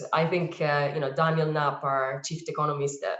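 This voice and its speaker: In an Italian accent, a woman speaks at a moderate pace with fairly even intonation. Her very deep, low pitch sounds somewhat breathy. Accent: Italian, noticeable. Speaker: advertising industry panelist. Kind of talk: webinar panel discussion. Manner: hesitant, many fillers.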